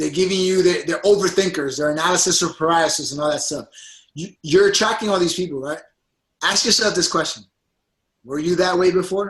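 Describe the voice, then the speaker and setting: A man's high-pitched voice at a fairly quick pace with ordinary pitch variation. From Puerto Rican background, US. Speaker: fitness coach. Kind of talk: motivational coaching call. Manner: animated.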